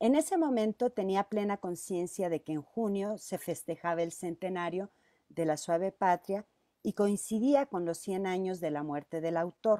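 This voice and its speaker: A woman's medium-pitched voice with lively intonation and a dark, mellow tone against a quiet background. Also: dry sound with no echo. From Mexico, Zacatecas. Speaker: teacher. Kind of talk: presentation. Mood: warm, reminiscing. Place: home room. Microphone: earbuds.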